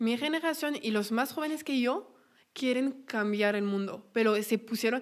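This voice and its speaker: Fairly slow delivery with ordinary pitch variation. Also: woman. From France. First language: French (speaking Spanish). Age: 20s. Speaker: podcaster. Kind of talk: casual chat.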